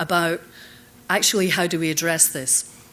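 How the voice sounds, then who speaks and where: A woman with a Scottish accent talks at a moderate pace. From Scotland. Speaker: conference speaker on leadership. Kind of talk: conference keynote talk. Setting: stage with audience.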